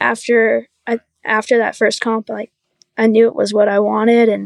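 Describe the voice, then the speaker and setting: A woman's fairly high voice at a moderate pace, dry and close with no echo. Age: 20s. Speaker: professional wake surfer. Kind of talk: casual chat.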